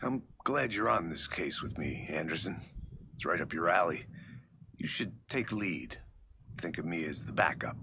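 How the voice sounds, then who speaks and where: A man's put-on character voice, very deep and low, with very wide pitch swings, a moderate pace and long, frequent pauses. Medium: video game. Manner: dry, deadpan.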